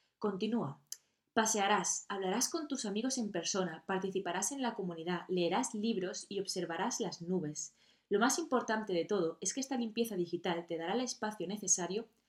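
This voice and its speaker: A woman's medium-pitched voice with lively intonation, at a moderate pace. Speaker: podcast host. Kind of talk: solo podcast monologue.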